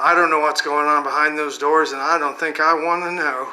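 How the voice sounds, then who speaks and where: A man at a moderate pace, flat monotone delivery, noticeable background noise behind him. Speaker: comedian and storyteller. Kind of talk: casual comedic storytelling monologue; channel promotion. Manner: rambling, repetitive, with self-corrections.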